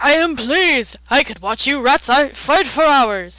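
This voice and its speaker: A female-sounding put-on character voice, high-pitched for a woman, moves along at a fairly slow pace. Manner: gloating, menacing.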